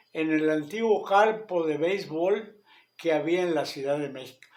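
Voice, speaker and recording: Amid audible room echo, a man with a fairly high pitch speaks at a fairly slow pace with lively intonation. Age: 70s. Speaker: radio show host. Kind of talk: casual monologue commentary.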